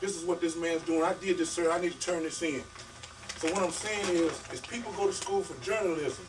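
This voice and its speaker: Music plays in the background as a man with a high voice talks at a fairly quick pace. His intonation stays fairly even. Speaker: author. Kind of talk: talk to an audience. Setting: bookstore event with audience. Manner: fast; casual, vernacular.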